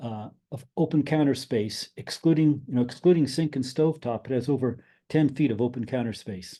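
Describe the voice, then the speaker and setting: A man's medium-pitched voice with a dark, mellow tone, fairly quick pace and ordinary pitch variation. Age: 70s. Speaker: tiny house owner and builder. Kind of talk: presentation. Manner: halting.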